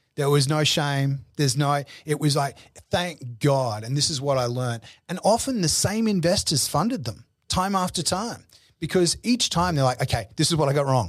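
A fairly high, somewhat breathy male voice in an Australian accent, with lively intonation. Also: moderate pace. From Australia, Brisbane. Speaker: business executive and consultant. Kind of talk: interview. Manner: halting, frequent repetitions.

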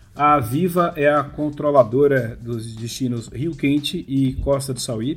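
Noticeable background noise beneath a man's voice of medium pitch. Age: 40s. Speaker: amusement park industry professional. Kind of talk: casual interview.

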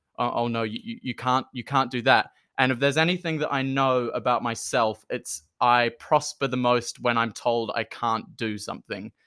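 In a very clean recording with a silent background, a man speaks with a New Zealand accent. His pitch is medium, his pace moderate, and his intonation fairly even. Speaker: performer, musical theatre artist. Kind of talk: casual interview chat. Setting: in person.

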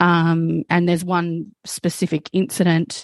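The audio is dry and close, with no echo. A woman talks with an Australian accent. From South Australia. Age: 30s. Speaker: trauma researcher and abuse survivor. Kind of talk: testimony.

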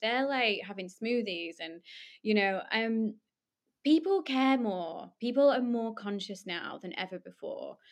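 With a Lancashire accent, a woman speaks at a moderate pace and a fairly high pitch, her pitch swinging very widely. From northern England, Lancashire. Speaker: social enterprise founder. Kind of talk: interview.

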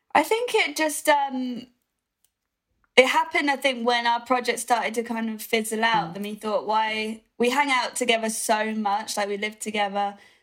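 A woman with a British accent at a moderate pace, with ordinary pitch variation. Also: fairly high pitch for a woman. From UK. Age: young. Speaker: rock musician. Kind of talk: interview. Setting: video call.

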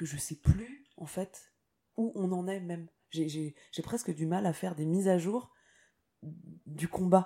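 A woman speaks in a somewhat breathy voice. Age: 30s. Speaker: singer-songwriter. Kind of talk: interview. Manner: hesitant, many fillers.

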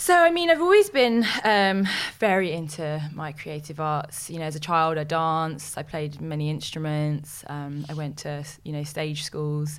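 Speaking in a London accent at a fairly slow pace, the voice has fairly even intonation and hardly any pauses. Audible room echo is present. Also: woman, very deep, low pitch for a woman. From West London, England. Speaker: presenter and actress. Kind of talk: interview.

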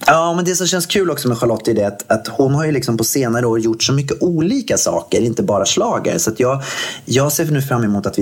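Lively intonation from a man at a fairly quick pace, over noticeable background noise. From Gothenburg, Sweden. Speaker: podcast co-host. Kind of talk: casual chat.

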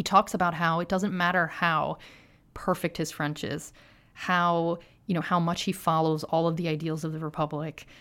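A woman speaks at a moderate pace in an American accent, with a fairly low pitch and fairly even intonation. It is an unremarkable speaking voice on a very clean recording with a silent background. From US, Philadelphia. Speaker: author and journalist. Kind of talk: interview.

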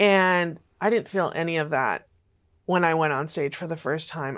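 In an ordinary speaking voice, a woman speaks at a fairly slow pace and a fairly low pitch with ordinary pitch variation, on a very clean recording with a silent background. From California. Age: 40s. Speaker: sex industry survivor and outreach director. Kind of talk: testimony. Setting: studio.

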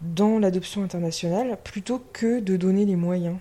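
Dark and mellow in tone, a woman speaks at a fairly slow pace with fairly even intonation. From western France. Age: 20s. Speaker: podcast guest. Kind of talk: casual chat. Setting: indoors, drinking champagne.

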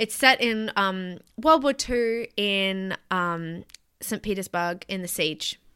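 A woman with an Australian accent speaks at a very slow pace and medium pitch. Her tone is bright and sharp, with ordinary pitch variation. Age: 30s. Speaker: podcast producer and co-host. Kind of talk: casual chat. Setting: remote call.

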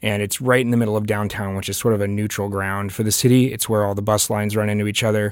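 A man talks at a very fast pace with hardly any pauses. His fairly low voice stays monotone and flat. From Pittsburgh. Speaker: DJ and party promoter. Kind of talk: panel discussion.

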